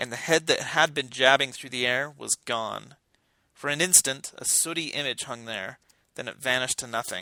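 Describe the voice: A quiet setting, with plain reading aloud and ordinary pitch variation.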